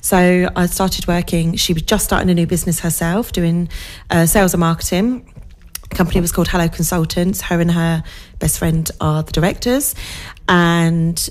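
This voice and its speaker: A woman with a fairly low pitch speaks at a moderate pace in an unremarkable speaking voice, her intonation fairly even. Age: 40s. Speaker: social media manager and entrepreneur. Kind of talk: casual interview chat on local radio. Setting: radio studio.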